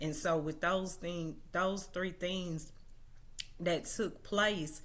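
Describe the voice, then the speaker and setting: Very slow speech in an American accent, fairly even intonation and audible room echo. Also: woman, fairly low pitch for a woman. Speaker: social media commentator. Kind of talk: livestream monologue. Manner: hesitant, many fillers.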